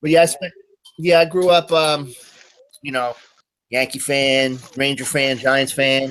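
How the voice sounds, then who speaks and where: With a New York accent, a man speaks at a fairly slow pace and fairly high pitch, his intonation fairly even and broken by long, frequent pauses. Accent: New York area. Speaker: call-in participant. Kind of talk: casual chat.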